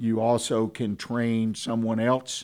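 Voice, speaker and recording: A Texan accent on a very clean recording with a silent background. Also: man. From Texas, Houston. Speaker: radio host. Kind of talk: radio business talk show. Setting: studio.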